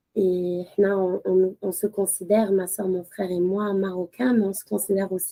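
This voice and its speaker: Dry and close with no echo, a woman speaks at a fairly slow pace. Her tone is dark and mellow and her pitch medium. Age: 30s. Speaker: lawyer and mother. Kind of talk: podcast interview. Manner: hesitant, many fillers, code-switching with Arabic.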